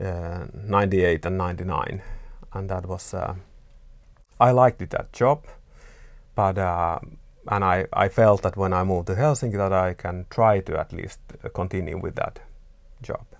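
A man with a very deep, low pitch talks at a moderate pace with ordinary pitch variation. He leaves long, frequent pauses, and the recording is very clean with a silent background. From Finland, Vaasa. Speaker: artist. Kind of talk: interview. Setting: artist's studio. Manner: halting.

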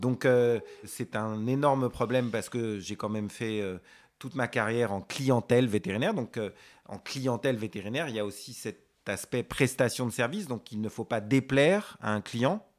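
Recorded very cleanly with a silent background, a man speaks at a moderate pace. His medium pitch shows ordinary variation. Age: 50s. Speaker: veterinarian. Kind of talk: interview conversation. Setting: veterinary office. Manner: halting, many hesitations.

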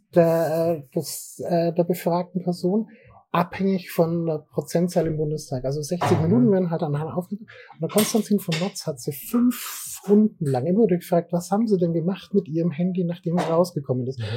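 Amid noticeable background noise, a man with a high-pitched voice speaks at a moderate pace with ordinary pitch variation. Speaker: IT security consultant. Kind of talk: casual interview. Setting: café. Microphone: poor recording quality.

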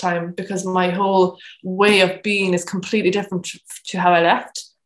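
This voice has a Cork accent. The intonation is monotone and flat. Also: woman. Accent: Cork Irish. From Ireland, Cork. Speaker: photographer and women's circle facilitator. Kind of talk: casual interview.

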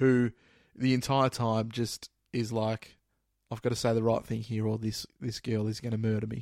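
Dry and close with no echo, this very clean recording over a silent background features a man with an Australian accent speaking in a monotone, flat intonation. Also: medium pitch for a man, moderate pace. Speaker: podcast co-host. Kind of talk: casual chat. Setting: recording at night.

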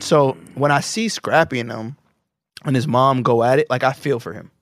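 Recorded very cleanly with a silent background and a dry, close sound with no echo, a man with a plain, everyday voice speaks at a medium pitch and moderate pace. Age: 30s. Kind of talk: casual chat.

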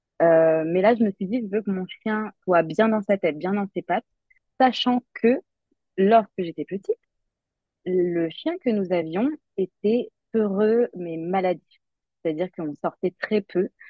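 A woman's medium-pitched voice at a fairly slow pace, with ordinary pitch variation and long, frequent pauses. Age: 30s. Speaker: digital secretary and dog enthusiast. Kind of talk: casual interview. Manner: halting, many filler hesitations.

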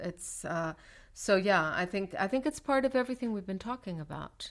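Vocal fry runs through speech at a moderate pace with ordinary pitch variation. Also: woman. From Mexico City. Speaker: writer, president of a writers' organization. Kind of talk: interview.

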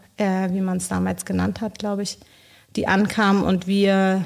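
A woman talks fairly slowly on a very clean recording, the background fully silent. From Bolivia. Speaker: social project leader. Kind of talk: interview.

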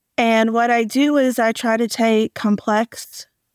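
A woman's ordinary speaking voice, fairly high in pitch with fairly even intonation, dry and close with no echo in a very clean recording with a silent background. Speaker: optician educator and consultant. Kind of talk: round-table discussion.

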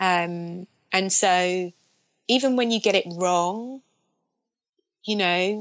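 A woman in a London accent with ordinary pitch variation. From south London (Streatham). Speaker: film director. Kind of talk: interview. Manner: hesitant, many fillers.

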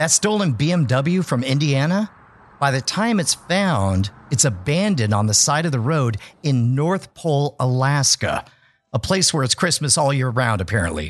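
An animated, theatrical male voice, fairly high for a man, with very wide pitch swings, very even loudness and a moderate pace over a quiet background. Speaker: podcast host and former stage magician. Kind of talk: dramatic storytelling narration, pitched like a Hollywood movie. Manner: animated, theatrical and suspenseful, with a conspiratorial showman's flair.

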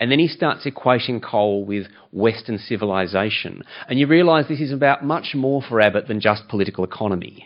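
An ordinary speaking voice runs at a fairly quick pace with lively intonation. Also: man, medium pitch for a man. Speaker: environmental campaign CEO. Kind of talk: panel talk. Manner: humorous, self-deprecating.

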